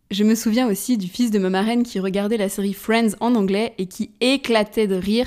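A woman's monotone, flat delivery at a fairly quick pace. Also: very clean recording, silent background. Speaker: podcast host. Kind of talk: solo podcast monologue.

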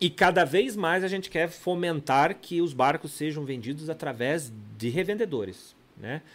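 A man is heard against total silence in a very clean recording. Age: 40s. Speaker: boat manufacturer. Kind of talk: casual chat. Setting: studio.

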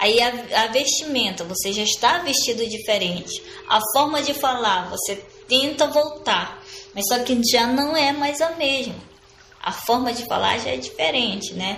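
Amid noticeable background noise and audible room echo, a woman with a high pitch speaks at a fairly slow pace with lively intonation. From Amazonas, Brazil (Sateré-Mawé community, lower Amazon). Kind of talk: interview. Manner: halting, many repetitions and fillers.

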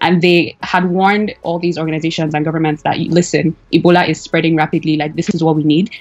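With music in the background, a woman talks very fast in a fairly low, flat monotone, hardly pausing at all. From Nigeria, Lagos. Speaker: graduate student, immigrant. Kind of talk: interview. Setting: phone or video call.

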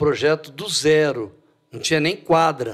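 This man has a plain, everyday voice and speaks at a moderate pace with lively intonation. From Brazil, Franca (São Paulo state). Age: 60s. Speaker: basketball coach. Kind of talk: casual interview.

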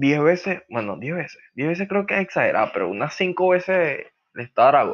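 Talking at a fairly quick pace, a man with a fairly high pitch uses lively intonation and vocal fry. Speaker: podcast host. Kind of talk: casual chat. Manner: animated.

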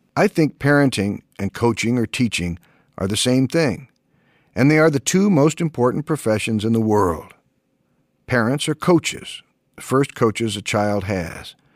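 A man with a normal speaking voice, medium pitch, lively intonation and moderate pace, in a dry, close sound with no echo on a very clean recording with a silent background. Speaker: audiobook narrator. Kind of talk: reading aloud. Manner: formal.

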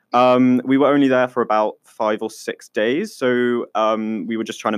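A man's voice at medium pitch, with ordinary pitch variation. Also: dry, close sound with no echo. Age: 20s. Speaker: podcast co-host. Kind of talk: casual chat. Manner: animated.

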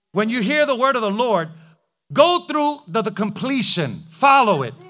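Animated and bright, with a sharp tone, a man delivers his words at a fairly slow pace. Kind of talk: sermon. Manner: vivid, punchy and rhythmic, with repeated short phrases.

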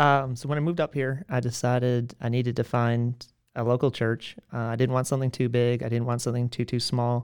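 Delivered in an American accent at a fairly quick pace with hardly any pauses, the speech is monotone and flat, on a very clean recording with a silent background. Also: man, medium pitch for a man. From US South, Georgia (McDonough, south of Atlanta). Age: 20s. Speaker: church member. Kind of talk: interview. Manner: halting.

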